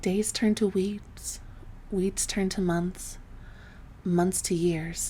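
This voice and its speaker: Soft-spoken and somewhat breathy, a woman talks at a fairly low pitch and a fairly slow pace with monotone, flat intonation. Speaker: voice actor. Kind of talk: sleep story.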